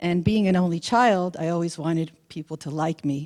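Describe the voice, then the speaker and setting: Heard on a very clean recording with a silent background, the woman has a dark, mellow tone. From United States, Hungarian-speaking immigrant family. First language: Hungarian. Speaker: spiritual speaker. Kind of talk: presentation to an audience.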